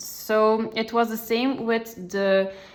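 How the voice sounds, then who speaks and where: This woman speaks with a non-native accent. Her pitch is fairly high. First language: not English. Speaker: coloring tutorial creator. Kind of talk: tutorial. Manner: hesitant, many fillers.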